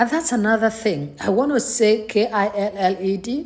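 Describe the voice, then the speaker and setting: A woman with a Nigerian accent talks at a fairly slow pace. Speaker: faith vlogger. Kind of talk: personal vlog monologue. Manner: hesitant, many fillers.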